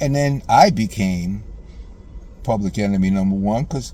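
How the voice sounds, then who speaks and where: A man talks at a moderate pace in a passionate tone over noticeable background noise. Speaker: father addressing estranged daughter in video message. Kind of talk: emotional personal monologue. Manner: passionate, sometimes loud; repetitive stammering.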